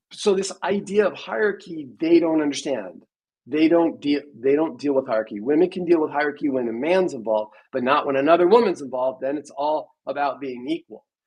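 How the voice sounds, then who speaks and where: A man with an ordinary speaking voice and a fairly high pitch talks at a fairly quick pace with lively intonation. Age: 60s. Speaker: podcast host. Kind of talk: casual debate chat. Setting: live stream.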